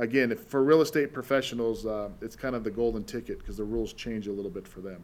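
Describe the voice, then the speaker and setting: In a normal speaking voice, a man talks at medium pitch with ordinary pitch variation. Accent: American. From Utah, US (Salt Lake City). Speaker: tax depreciation specialist. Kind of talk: podcast interview.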